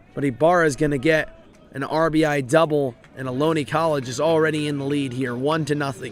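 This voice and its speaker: Noticeable noise sits in the background. The intonation stays fairly even. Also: man, fairly high pitch for a man, fairly quick pace. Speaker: baseball play-by-play announcer. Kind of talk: live commentary.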